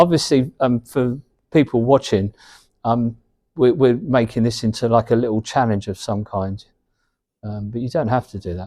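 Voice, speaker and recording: On a very clean recording with a silent background, a man at medium pitch talks at a moderate pace with ordinary pitch variation and long, frequent pauses. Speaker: snooker coach. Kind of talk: coaching commentary.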